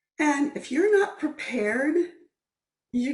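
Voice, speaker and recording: The speech comes at a very slow pace. The speaker is a woman. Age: 60s. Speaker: guest speaker, wellness advocate. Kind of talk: talk. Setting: video call.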